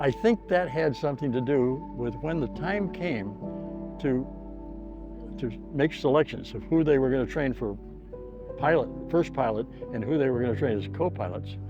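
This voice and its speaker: A man with a medium pitch speaks with lively intonation and long, frequent pauses. Music plays in the background. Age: 80s+. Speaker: war veteran. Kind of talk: testimony. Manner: halting.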